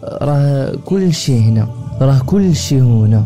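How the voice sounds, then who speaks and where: A man speaks at a medium pitch and a very slow pace. Music plays in the background. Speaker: book summary narrator. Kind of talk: book summary narration. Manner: calm.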